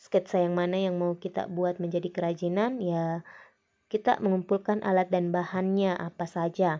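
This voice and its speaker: A woman with a Makassar accent, fairly low in pitch, at a moderate pace with monotone, flat intonation. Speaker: teacher. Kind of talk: lecture.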